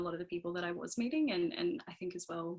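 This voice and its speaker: A woman talks in a strong Australian accent. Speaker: engineer on a panel. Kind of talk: panel discussion. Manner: halting, many fillers.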